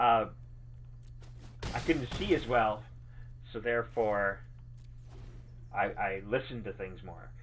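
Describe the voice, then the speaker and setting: A man with vocal fry, a moderate pace and fairly even intonation. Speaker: game streamer. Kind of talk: live gameplay stream chat. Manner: casual, halting.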